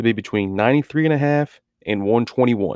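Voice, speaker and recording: Dry and close with no echo, this very clean recording with a silent background captures a man whose medium pitch shows ordinary variation and a dark, mellow tone. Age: 30s. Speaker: sports betting podcaster. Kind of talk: casual monologue. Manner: casual with many fillers.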